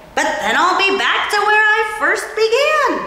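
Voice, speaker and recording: Strong echo fills this put-on character voice from a woman. It is squeaky and extremely high in pitch, moving at a moderate pace. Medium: read story. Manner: calm, unhurried.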